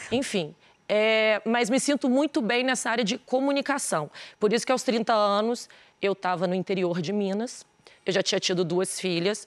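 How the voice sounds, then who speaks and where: On a very clean recording with a silent background, a woman speaks at a moderate pace in a fairly high pitch, with ordinary pitch variation and very even loudness. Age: 40s. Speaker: businesswoman and influencer. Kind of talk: TV interview. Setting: TV studio.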